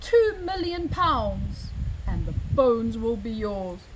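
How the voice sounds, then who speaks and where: Over clear background noise, a woman puts on a character voice, pitched high and delivered at a fairly slow pace. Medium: read story. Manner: polite, determined.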